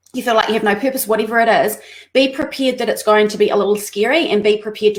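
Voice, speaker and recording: The voice belongs to a woman and sits fairly high in pitch. Its pitch rises and falls in an ordinary way. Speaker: entrepreneur. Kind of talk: interview. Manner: fast.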